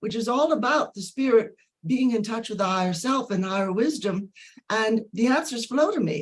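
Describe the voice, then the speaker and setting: With lively intonation, a woman talks in a fairly high, somewhat breathy voice. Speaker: author and spiritual channel. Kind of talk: interview.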